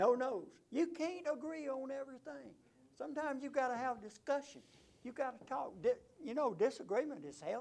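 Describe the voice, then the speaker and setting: A man with an Alabama accent speaks at an extremely high pitch. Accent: Southern US (Alabama). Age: 70s. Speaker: city council candidate. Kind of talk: campaign speech at a candidate forum. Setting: conference room.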